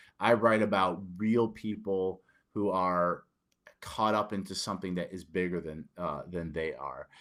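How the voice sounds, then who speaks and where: The voice carries a northern US accent with fairly even intonation. The recording is very clean, with a silent background. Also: man, very deep, low pitch for a man. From Detroit, Michigan, US. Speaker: author and army veteran. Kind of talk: interview. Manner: halting, many fillers and repetitions.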